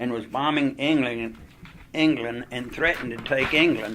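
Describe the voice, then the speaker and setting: A man with a Southern US accent, fairly high pitch, ordinary pitch variation and a moderate pace, over noticeable background noise. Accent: Southern American. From Greensboro, North Carolina. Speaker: war veteran. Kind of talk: oral history interview answer.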